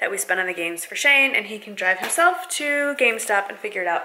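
Very fast speech over light background noise. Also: woman. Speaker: vlogger. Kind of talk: casual vlog chat. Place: home room. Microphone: phone near.

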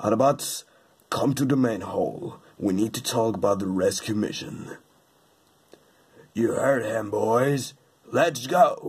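A man's put-on character voice at a medium pitch, with a fairly slow pace and long, frequent pauses. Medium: dub.

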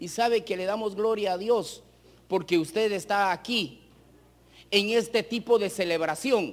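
Pitched high, a man talks at a fairly slow pace with ordinary pitch variation. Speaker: preacher. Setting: church with congregation, broadcast on radio. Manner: earnest, exhorting, direct appeals to 'amados hermanos' with rhetorical questions; measured, pausing to repeat phrases for emphasis. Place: hall.

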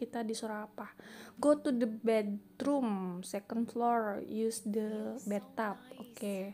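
With a slight Jakarta accent, a woman speaks at a fairly high pitch in a dark, mellow tone, her intonation monotone and flat. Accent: slight Betawi-sounding. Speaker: gaming youtuber. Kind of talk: gameplay commentary. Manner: casual, chatty; voiceover recorded after editing.

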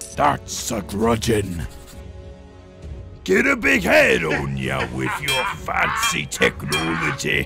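Someone speaks at a very slow pace in a put-on character voice. Clear music plays in the background. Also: man, very deep, low pitch for a man. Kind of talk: comedic video game parody.

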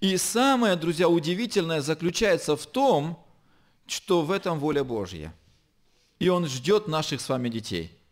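Very wide pitch swings at a fairly slow pace, with long, frequent pauses over a quiet background. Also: man, high pitch for a man. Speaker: pastor. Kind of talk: sermon. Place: church. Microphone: podium.

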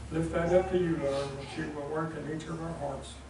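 Noticeable background noise and audible room echo surround a man speaking at a moderate pace. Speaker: church lay leader. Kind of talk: prayer. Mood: reverent, gentle. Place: church. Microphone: camera far.

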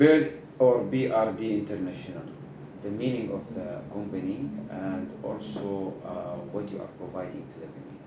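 The speech comes in an Arabic accent at a moderate pace, with big swings in loudness. Noticeable background noise and audible room echo fill the recording. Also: man, fairly low pitch for a man. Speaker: TV show host. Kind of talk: interview. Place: office.

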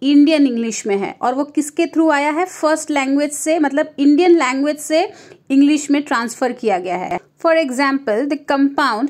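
Here a woman speaks with a high pitch. Her pace is moderate, and her pitch varies in an ordinary way. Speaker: online literature tutor. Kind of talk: exam-prep lecture mixing Hindi and English.

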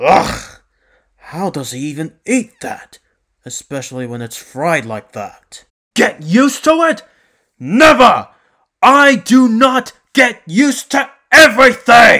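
Shouting in a loud, put-on character voice at a fairly high pitch, the speaker goes at a fairly slow pace with long, frequent pauses. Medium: role play. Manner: loud, angry shouting.

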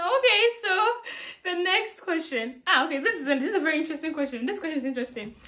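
A bright, sharp voice, raised and projected, with very wide pitch swings at a very fast pace over a quiet background. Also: woman, extremely high pitch for a woman. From Ghana. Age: 20s. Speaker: vlogger interviewing her mother. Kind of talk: casual talk to camera. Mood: playful, laughing. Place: home room. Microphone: camera far.

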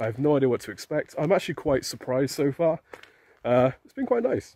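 A man's voice comes through dry, with no echo. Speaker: vlogger. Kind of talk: casual vlog chat. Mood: mildly nervous, upbeat. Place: street. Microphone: phone near.

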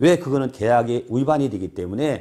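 Against a quiet background, a man at medium pitch has a dark, mellow tone with vocal fry and very wide pitch swings. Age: 50s. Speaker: solar investment broker; solar sales director. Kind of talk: informational monologue. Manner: halting, many fillers. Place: office.

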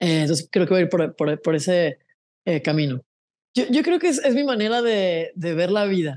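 A woman's fairly low-pitched, dark, mellow voice over a quiet background. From Mexico, San José del Cabo, Baja California Sur; Baja California Sur, Mexico. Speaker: singer-songwriter; interviewee. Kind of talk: casual interview. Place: home room. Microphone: earbuds.

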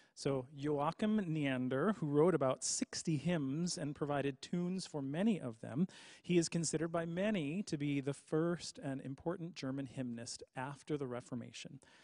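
Over a quiet background with a dry sound and no echo, a man talks at a moderate pace in a dark, mellow tone, with ordinary pitch variation and hardly any pauses. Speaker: hymn sing host. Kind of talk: casual presentation to a livestream audience. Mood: jovial, light humor. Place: church. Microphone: studio mic.

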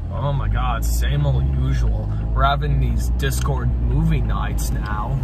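A man speaks at a very slow pace over music in the background, the sound dry with no echo. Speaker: vlog co-host. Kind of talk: casual vlog chat. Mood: relaxed, joking. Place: car.

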